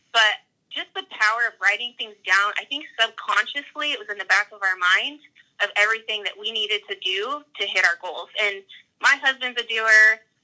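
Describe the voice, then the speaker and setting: Speaking with an American accent, a woman with a fairly high pitch has a bright, sharp tone, ordinary pitch variation and big swings in loudness. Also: moderate pace. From US, northern Idaho. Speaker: personal trainer and hunter. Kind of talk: casual interview chat.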